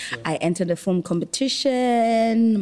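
A woman speaks fairly slowly and with lively intonation, noticeable noise sounding behind her. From South Africa, Eastern Cape (Port Elizabeth). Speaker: film and TV producer. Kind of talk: casual interview chat.

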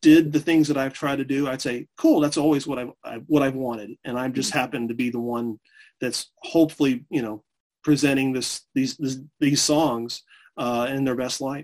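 At a moderate pace, a man with an unremarkable speaking voice keeps fairly even intonation at a medium pitch. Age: 40s. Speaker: music historian. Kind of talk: interview.

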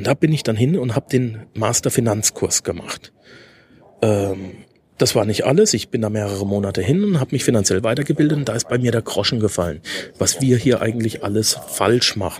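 A man talks at a fairly quick pace with medium pitch. His pitch varies in an ordinary way. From Germany, Karlsruhe (Baden). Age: 30s. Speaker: finance podcast host. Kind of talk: solo podcast monologue. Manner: frequent hesitation fillers.

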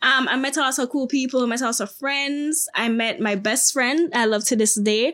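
With a Jamaican accent, a woman talks at a moderate pace with hardly any pauses, her high pitch carrying ordinary pitch variation. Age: 20s. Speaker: TikTok creator. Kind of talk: casual interview chat.

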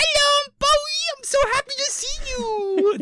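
A put-on character voice with a cheerful tone at an extremely high pitch. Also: fairly slow pace. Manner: cute, cheerful.

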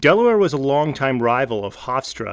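On a very clean recording with a silent background, a man with an American accent uses a normal speaking voice at medium pitch and a moderate pace. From New Jersey, New York City area. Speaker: sports podcaster / YouTuber. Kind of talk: scripted narration.

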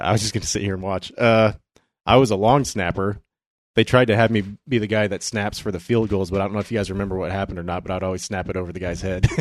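A man at a very fast pace, with a fairly low pitch and fairly even intonation, over a quiet background. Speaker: podcast co-host. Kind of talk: casual chat. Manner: jokey, laughing.

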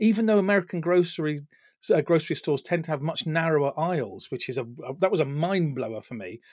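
Over a silent background in a very clean recording, a man with a British accent talks at a very fast pace, his fairly high pitch moving with lively intonation. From England. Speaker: retail tech executive and author. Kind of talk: casual interview chat.

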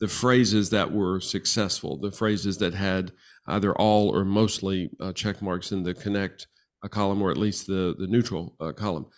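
Recorded very cleanly with a silent background, a man talks at a moderate pace in a plain, everyday voice with a fairly low pitch. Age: 60s. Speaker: marriage and family therapist. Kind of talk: interview.

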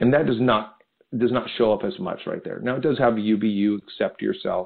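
Speaking in an ordinary speaking voice, a man talks at a moderate pace with a fairly low pitch and ordinary pitch variation. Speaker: speaker and leadership coach. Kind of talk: interview conversation.

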